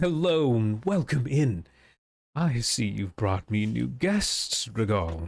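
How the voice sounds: In a booming, put-on character voice at a medium pitch, a man talks fairly slowly with very wide pitch swings and very even loudness on a very clean recording with a silent background.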